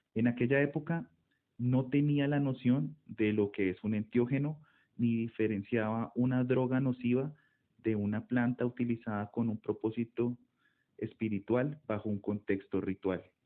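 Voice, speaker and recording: With a Colombian accent, a man at medium pitch speaks at a fairly slow pace with fairly even intonation. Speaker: ethnomycology researcher. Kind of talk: monologue talk.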